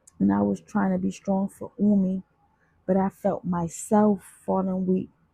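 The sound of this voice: The speaker uses an unforced reading voice.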